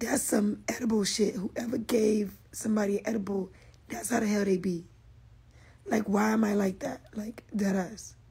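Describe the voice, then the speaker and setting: A woman speaks at a medium pitch with vocal fry. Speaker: social media influencer. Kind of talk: casual livestream chat. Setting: Instagram live stream. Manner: animated.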